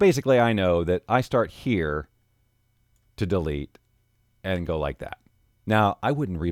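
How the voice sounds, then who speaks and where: A man speaks with a very deep, low pitch and very wide pitch swings at a moderate pace. The background is quiet and the sound dry with no echo. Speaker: voiceover artist; audio editing instructor. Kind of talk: tutorial. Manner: casual.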